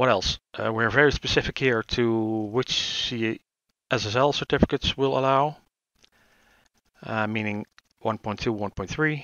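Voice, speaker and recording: A man at medium pitch and a moderate pace. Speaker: tech tutorial youtuber. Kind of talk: tutorial. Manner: hesitant, searching for words.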